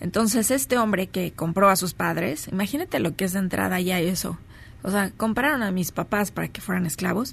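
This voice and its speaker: A woman's medium-pitched voice with vocal fry, ordinary pitch variation and a Mexican accent. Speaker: spiritual speaker and radio host. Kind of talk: live radio talk show; reading aloud. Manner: animated.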